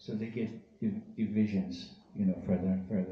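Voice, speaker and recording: A man's fairly low, dark, mellow voice with a Persian accent, somewhat breathy, with fairly even intonation and audible room echo. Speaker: Sufi teacher. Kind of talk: talk to a live audience. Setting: event hall with audience, live-streamed.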